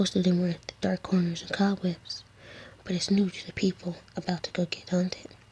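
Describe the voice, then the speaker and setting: A whisper amid noticeable background noise. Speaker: ASMR creator. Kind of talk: read story. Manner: whispered.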